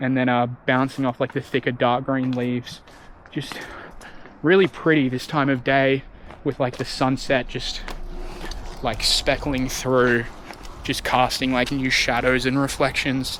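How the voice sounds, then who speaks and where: Amid noticeable background noise, someone with an Australian accent talks at a fairly slow pace with long, frequent pauses. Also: man. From Western Australia. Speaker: travel vlogger. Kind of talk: vlog narration while hiking. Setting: outdoors on a forest trail. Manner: drawn-out, casual.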